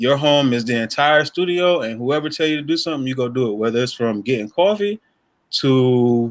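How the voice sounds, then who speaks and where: A man with an American accent and a normal speaking voice talks at a fairly quick pace, his medium pitch carrying lively intonation. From North Carolina (New Bern). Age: 30s. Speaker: film and media creator. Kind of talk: casual chat. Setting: in a car.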